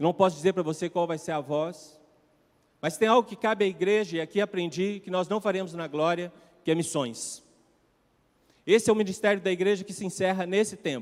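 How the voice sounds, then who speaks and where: A high-pitched man at a fairly quick pace, ordinary pitch variation, long, frequent pauses and a very clean recording with a silent background. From Brazil, Minas Gerais. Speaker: pastor. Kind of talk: sermon. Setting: church.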